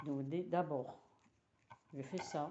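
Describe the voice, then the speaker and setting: The speaker has an Italian accent and talks at a very slow pace. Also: woman. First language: Italian (speaking French). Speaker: knitting teacher. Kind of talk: tutorial. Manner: halting.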